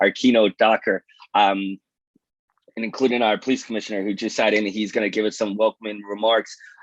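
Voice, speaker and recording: Fairly quick speech from a man, dry and close with no echo. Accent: New York. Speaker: police detective and research scientist, event moderator. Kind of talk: event opening remarks.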